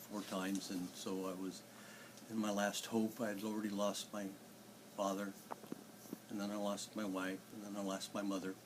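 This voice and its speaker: A man with a fairly low pitch speaks at a moderate pace in a monotone, flat intonation. He leaves long, frequent pauses, and background noise is noticeable. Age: 60s. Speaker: church member sharing faith story. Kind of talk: testimony. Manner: halting.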